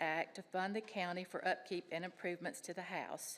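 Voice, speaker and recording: A woman speaks in a Tennessee accent at a medium pitch. Her pace is fairly quick. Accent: Tennessee Southern. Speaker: public commenter. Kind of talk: public comment at county meeting. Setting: county commission chambers. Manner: shaky.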